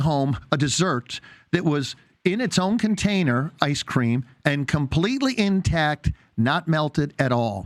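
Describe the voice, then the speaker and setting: In a very clean recording with a silent background, a man speaks at a fairly slow pace. He has a plain, everyday voice with a fairly high pitch. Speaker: naturopath, radio show host. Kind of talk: interview host talk.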